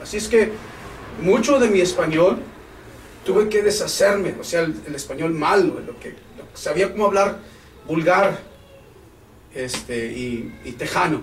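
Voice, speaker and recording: A man talks at a fairly slow pace in a high voice, with very wide pitch swings and big swings in loudness. Long, frequent pauses, audible room echo, and noticeable background noise fill the clip. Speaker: pastor. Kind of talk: sermon. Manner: halting.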